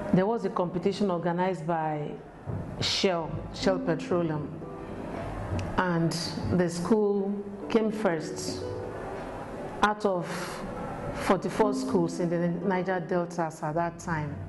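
A woman speaks at a very slow pace, with long, frequent pauses. Her intonation is fairly even, and there is noticeable background noise. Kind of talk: interview answer. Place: office. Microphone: lapel.

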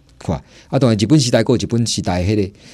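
A man talks at a very fast pace in a dark, mellow tone. His pitch varies in an ordinary way. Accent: Taiwanese. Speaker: historic building restorer. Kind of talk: radio interview. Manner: halting, many fillers.

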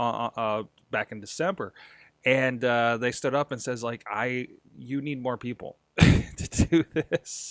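Against a quiet background, a man talks at a moderate pace with ordinary pitch variation. The sound is dry, with no echo. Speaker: podcast host. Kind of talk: casual vlog chat. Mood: reflective, slightly self-critical. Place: home room. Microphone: studio mic.

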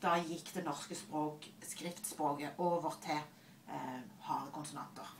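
A woman with a Southern Norwegian accent and a very deep, low pitch speaks at a very slow pace with fairly even intonation, amid audible room echo and light background noise. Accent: Southern Norwegian, soft consonants. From Southern Norway. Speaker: librarian and linguist. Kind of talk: casual conversation on camera. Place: office. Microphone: webcam.

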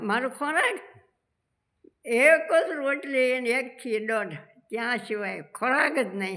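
The speaker has a Gujarat accent. The intonation is lively. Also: woman, high pitch for a woman. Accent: rural Gujarati dialect. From rural Gujarat. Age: 80s+. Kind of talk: interview answer.

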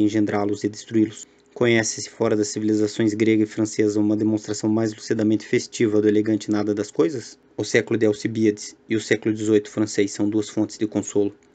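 A man talks at a fairly quick pace with a dark, mellow tone. His fairly low pitch stays monotone and flat. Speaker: audiobook narrator. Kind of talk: literary audiobook reading of philosophical aphorisms, measured and solemn. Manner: contemplative, somber, little emotional variation.

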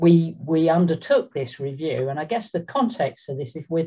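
Quiet background behind a woman's very deep, low, somewhat breathy voice at a moderate pace. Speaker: panelist. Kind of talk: webinar presentation. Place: home room. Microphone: webcam.

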